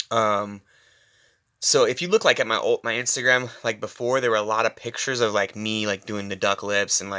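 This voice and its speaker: Quiet and fairly quick, a man speaks in a bright, sharp tone on a very clean recording with a silent background. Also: medium pitch for a man, fairly even intonation. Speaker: personal trainer. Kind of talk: casual monologue. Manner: halting.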